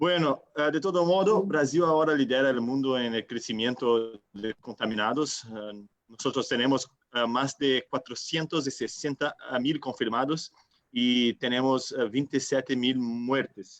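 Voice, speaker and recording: Speaking slowly with a Brazilian accent, a man at medium pitch uses ordinary pitch variation in a dry, close sound with no echo. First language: Portuguese (speaking Spanish). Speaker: city councillor, panelist. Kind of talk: panel discussion, online event. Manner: halting, many filler sounds.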